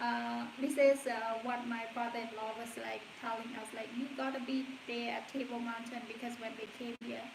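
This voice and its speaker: Amid noticeable background noise and audible room echo, a woman with a Cambodian accent speaks at a fairly high pitch and moderate pace in a monotone, flat intonation. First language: Khmer. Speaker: stay-at-home mom vlogger. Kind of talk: casual livestream chat. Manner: halting.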